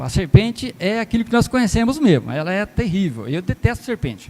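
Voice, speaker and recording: The pace is moderate. A man's pitch swings very widely as he talks. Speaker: lay preacher. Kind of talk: sermon. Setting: church.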